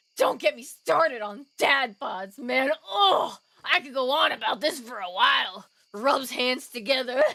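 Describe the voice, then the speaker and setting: Using a raised, projected voice, a woman speaks at a fairly slow pace and high pitch, with lively intonation and big swings in loudness. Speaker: streamer and voice actor. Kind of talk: casual live-stream chat while gaming. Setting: live stream. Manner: rambly; animated.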